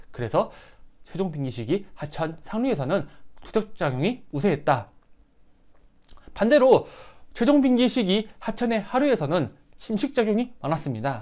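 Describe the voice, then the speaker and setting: Long, frequent pauses break up speech at a moderate pace on a very clean recording with a silent background. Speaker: teacher. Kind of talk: lecture.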